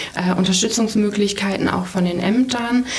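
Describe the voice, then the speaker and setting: Over noticeable background noise and audible room echo, a woman speaks at a moderate pace and a medium pitch with fairly even intonation. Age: 20s. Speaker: refugee shelter deputy manager. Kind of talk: interview. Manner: hesitant, many fillers.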